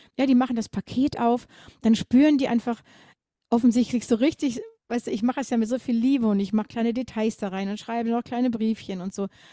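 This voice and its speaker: A woman's fairly high voice with a dark, mellow tone, very fast pace and fairly even intonation, in a very clean recording with a silent background. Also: dry, close sound with no echo. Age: 50s. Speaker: grief counsellor and singer. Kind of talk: interview.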